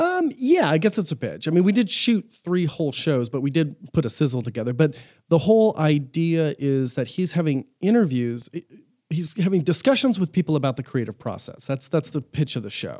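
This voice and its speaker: A man's fairly high-pitched voice with a dark, mellow tone at a fairly quick pace. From Southern California, Orange County. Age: 40s. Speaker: film producer. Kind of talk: casual interview. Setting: studio.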